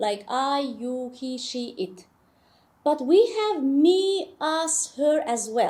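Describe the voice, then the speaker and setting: A woman speaks very slowly in a high, dark, mellow voice with very wide pitch swings. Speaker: English teacher. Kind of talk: tutorial.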